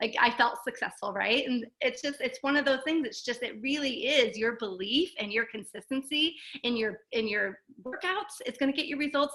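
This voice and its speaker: The voice is raised and projected, animated in tone, with ordinary pitch variation. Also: woman, high pitch for a woman. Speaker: network marketing coach. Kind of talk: interview. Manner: fast.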